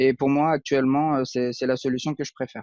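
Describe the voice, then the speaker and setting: This man talks at a moderate pace, his intonation flat and monotone. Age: 30s. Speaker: aspiring web marketer, unemployed IT technician. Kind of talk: interview. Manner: hesitant, many fillers.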